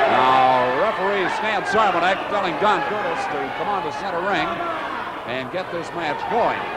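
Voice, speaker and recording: The pace is moderate. Loud background noise runs underneath. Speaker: wrestling commentator. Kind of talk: live commentary on a wrestling match.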